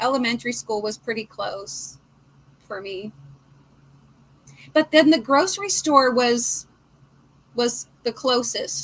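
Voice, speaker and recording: A woman with a West Coast accent talks at a very slow pace, leaving long, frequent pauses. Her high voice swings very widely in pitch over noticeable background noise. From Portland. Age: 50s. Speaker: crochet livestream host. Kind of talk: casual chat.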